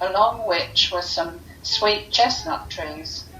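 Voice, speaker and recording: With music in the background and audible room echo, a woman at a medium pitch talks at a fairly slow pace with lively intonation. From London, England. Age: 70s. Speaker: local resident sharing memories. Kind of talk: reminiscence, reading prepared memories.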